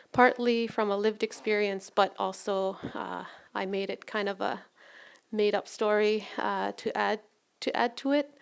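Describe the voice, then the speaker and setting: A woman talks at a fairly slow pace. She speaks with a Canadian Arctic accent. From Nunavut, Canada. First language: Inuktitut. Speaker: nurse and researcher. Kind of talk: storytelling presentation. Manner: halting.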